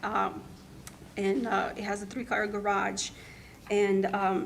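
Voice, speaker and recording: Very slowly, a woman speaks at a medium pitch with fairly even intonation and very even loudness. Her voice carries audible room echo over noticeable background noise. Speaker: taxpayer appealing property value. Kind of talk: public hearing testimony. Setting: county board meeting. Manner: halting, many fillers and restarts.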